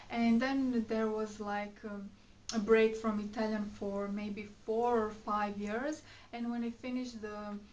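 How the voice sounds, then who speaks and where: A somewhat breathy voice with a Croatian accent, monotone, flat intonation and a fairly slow pace, plus audible room echo. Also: woman. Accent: Croatian accent in English, noticeable. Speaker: beauty and fashion vlogger. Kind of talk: casual vlog chat. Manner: hesitant, many fillers.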